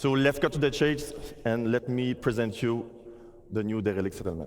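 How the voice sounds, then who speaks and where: A man talks at a moderate pace with a Quebec accent. His pitch is medium, with ordinary pitch variation. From Quebec, Montreal. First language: French. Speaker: game art director. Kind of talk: conference presentation.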